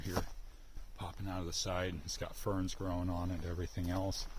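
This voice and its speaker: At a moderate pace, a man speaks in a very deep, low pitch. His intonation is monotone and flat, with audible room echo. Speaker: outdoors vlogger. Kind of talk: casual vlog narration while hiking. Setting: outdoors in a forest. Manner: hushed, keeping voice low.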